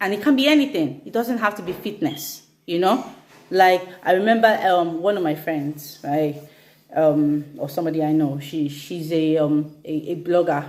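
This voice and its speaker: Delivered at a moderate speed, an unremarkable speaking voice shows ordinary pitch variation. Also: woman, fairly low pitch for a woman. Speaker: fitness instructor. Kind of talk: instagram live talk.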